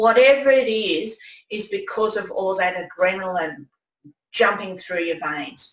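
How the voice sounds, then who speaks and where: A woman with an Australian accent is heard with audible room echo. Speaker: presentation skills coach, former nurse; presentation skills coach. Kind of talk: webinar presentation. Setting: online webinar with screen share. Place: home room.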